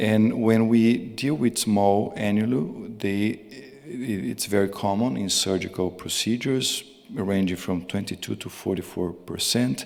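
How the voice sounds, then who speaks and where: A man with a Portuguese accent talks at a fairly slow pace, his pitch fairly low with ordinary variation. The recording has audible room echo and noticeable background noise. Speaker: cardiologist. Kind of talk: conference talk. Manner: halting, repeated words.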